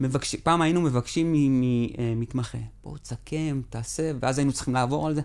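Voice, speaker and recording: Against a quiet background, a man talks at a moderate pace with hardly any pauses. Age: 40s. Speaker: accountant and technology lead; podcast guest. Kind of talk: professional interview; interview answer. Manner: animated, repetitive. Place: studio. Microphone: studio mic.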